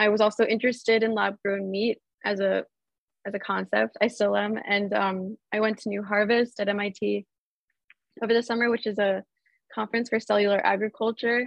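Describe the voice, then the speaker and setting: Speaking with an American accent, a woman of medium pitch keeps a moderate pace and monotone, flat intonation, with long, frequent pauses. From US, Baltimore, Maryland. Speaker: sculptor and artist. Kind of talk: casual interview.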